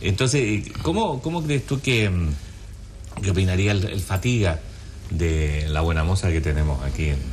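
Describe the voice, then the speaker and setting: Very deep, low male voice at a fairly slow pace, very wide pitch swings yet very even loudness, with audible room echo and noticeable background noise. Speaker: talk show host. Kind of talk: casual chat.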